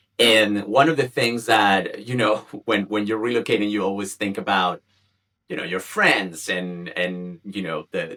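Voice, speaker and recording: A man with a Spanish accent speaks at a fairly slow pace. His pitch is fairly low, with ordinary variation. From Chile. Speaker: community founder, communications professional. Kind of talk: podcast interview. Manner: halting, many fillers and repetitions.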